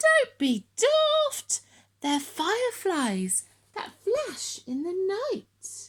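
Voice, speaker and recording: A woman's put-on character voice, squeaky and extremely high, at a very slow pace. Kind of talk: bedtime story. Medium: read story.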